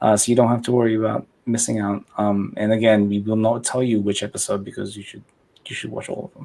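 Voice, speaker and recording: A man with a non-native accent talks at a very fast pace, fairly low and dark, mellow in tone. His intonation stays flat and monotone while his loudness swings widely. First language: not English. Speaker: livestream host reviewing model builds. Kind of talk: casual livestream chat.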